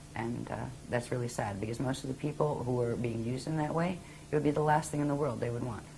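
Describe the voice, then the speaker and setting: Noticeable background noise and audible room echo around very fast talking. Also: woman, very deep, low pitch for a woman, ordinary pitch variation. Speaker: author and channeler of spiritual teachings. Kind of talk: interview.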